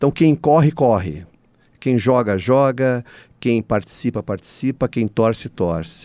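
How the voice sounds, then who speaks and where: A dark, mellow tone carries lively intonation at a moderate pace, with a dry, close sound and no echo. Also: man. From São Paulo state interior (Aguaí). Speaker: cultural foundation president, journalist. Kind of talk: radio interview.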